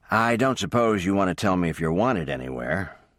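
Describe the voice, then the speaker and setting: Putting on a character voice, a man talks at a fairly quick pace with a very deep, low pitch and very wide pitch swings. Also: very even loudness. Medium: read story. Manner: easygoing.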